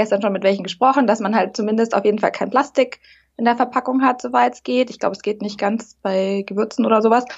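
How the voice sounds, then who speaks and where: Very fast speech from a woman, fairly high in pitch, her intonation fairly even. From Munich, Bavaria. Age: 30s. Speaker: aspiring café founder. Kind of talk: casual interview. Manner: hesitant, many fillers.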